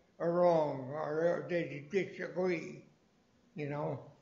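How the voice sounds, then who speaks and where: A man talks in a high, monotone voice with flat intonation. Noticeable background noise and audible room echo fill the recording. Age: 90s. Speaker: elder language teacher. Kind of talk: language class discussion. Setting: library class broadcast. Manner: halting.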